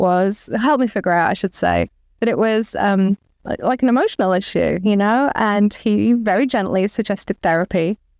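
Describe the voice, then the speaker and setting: A fairly quick delivery with an English accent and ordinary pitch variation, dry and close with no echo, on a very clean recording with a silent background. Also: woman. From England. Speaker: author and comic artist. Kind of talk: interview.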